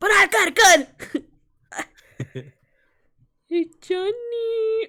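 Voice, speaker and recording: A put-on character voice, extremely high in pitch, at a very slow pace. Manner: exaggerated, comic.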